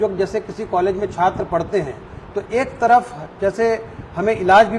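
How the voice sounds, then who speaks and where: Noticeable background noise sits behind a man's high-pitched voice. His intonation is fairly even. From South India (Andhra), raised in Chhattisgarh. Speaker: medical college dean, microbiology professor. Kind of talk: interview. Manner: formal.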